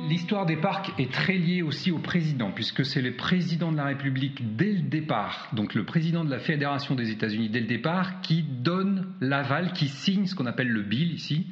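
A man's fairly high pitch with lively intonation at a moderate pace, over noticeable background noise. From France. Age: 40s. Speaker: adventurer and hiker. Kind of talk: interview. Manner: hesitant with frequent fillers.

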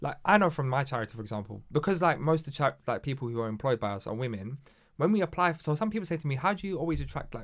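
A man with a London accent speaks at a very fast pace with lively intonation. The recording is very clean, with a silent background. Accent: London English, multicultural London. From London, Hackney. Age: 20s. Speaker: local councillor and charity chief executive. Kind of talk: casual chat.

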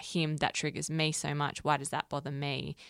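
On a very clean, dry, close recording with no echo and a silent background, a woman with an Australian accent speaks at a moderate pace in a very deep, low pitch. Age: 20s. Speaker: podcast co-host, entertainment journalist. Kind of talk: casual chat.

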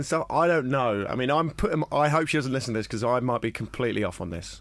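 A man with a southern English accent talks very fast with lively intonation and vocal fry. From England, Brighton. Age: 20s. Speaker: comedian. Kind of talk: casual chat.

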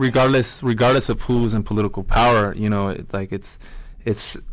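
A man speaks in an American accent at a fairly quick pace. He has an ordinary speaking voice and fairly even intonation. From La Mirada, Los Angeles area. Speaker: band musician. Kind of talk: interview.

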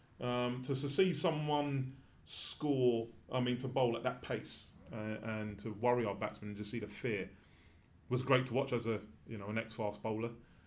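Audible room echo surrounds a man talking at a moderate pace. His medium pitch shows ordinary variation. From England. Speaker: former cricketer. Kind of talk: casual chat. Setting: studio.

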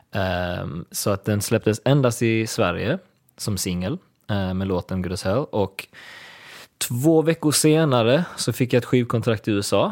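A man's lively, fairly slow delivery in a very clean, silent recording, dry and close with no echo. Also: medium pitch for a man. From Sweden, Lund. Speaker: singer-songwriter. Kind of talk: casual interview. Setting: studio.

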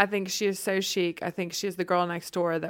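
A woman with a fairly low voice speaks at a fairly quick pace on a very clean recording with a silent background. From Charlotte, North Carolina, US South. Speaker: lifestyle blogger. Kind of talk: casual interview chat.

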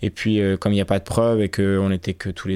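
With a plain, everyday voice, a man speaks at a fairly quick pace and fairly low pitch on a very clean recording with a silent background. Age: 30s. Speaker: radio documentary reporter. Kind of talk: interview.

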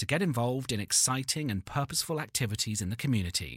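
On a very clean recording with a silent background, a man with a plain, everyday voice speaks at a medium pitch with lively intonation. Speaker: outro announcer. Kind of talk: scripted narration.

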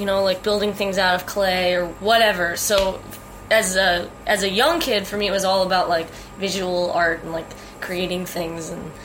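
With noticeable background noise, a woman with an American accent talks at a moderate pace in a monotone, flat intonation. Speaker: singer-songwriter. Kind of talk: interview.

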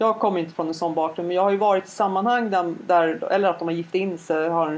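This is a woman with a medium pitch and ordinary pitch variation. She has an ordinary speaking voice. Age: 40s. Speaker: podcast co-host. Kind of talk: casual chat.

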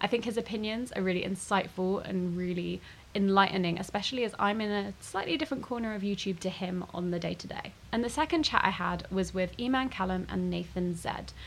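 A woman of medium pitch speaks at a fairly quick pace with hardly any pauses. Noticeable background noise is present. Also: ordinary pitch variation. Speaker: podcast host. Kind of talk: casual interview chat. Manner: chatty, laughs often.

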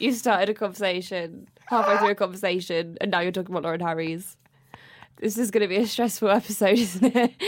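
A woman's medium-pitched voice at a very fast pace, with fairly even intonation. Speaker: podcast co-host. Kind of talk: casual chat.

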